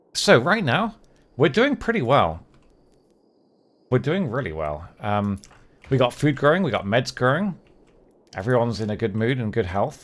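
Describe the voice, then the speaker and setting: With vocal fry and long, frequent pauses, a man speaks at a medium pitch with very wide pitch swings. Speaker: game streamer. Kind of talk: live gameplay commentary. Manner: fast.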